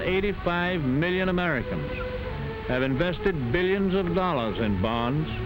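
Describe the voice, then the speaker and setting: Music plays in the background as a man talks at a fairly slow pace with lively intonation and very even loudness. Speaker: president giving a wartime address. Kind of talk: recorded wartime speech. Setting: old 1940s recording.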